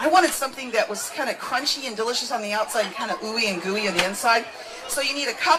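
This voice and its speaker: A woman's fairly high, animated voice amid crowd noise, with audible room echo. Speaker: cooking show host. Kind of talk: cooking demonstration. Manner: fast.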